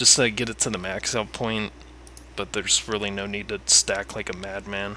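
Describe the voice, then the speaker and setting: Mumbling at a moderate pace, a man talks in a fairly low pitch with a bright, sharp tone. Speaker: gamer giving a game guide. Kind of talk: casual game tutorial talk. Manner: rambling, mumbling with pauses.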